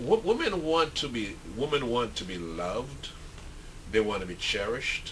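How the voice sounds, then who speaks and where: A man talks at a moderate pace with big swings in loudness. Noticeable background noise runs throughout. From St. Vincent and the Grenadines. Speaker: author. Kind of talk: interview answer.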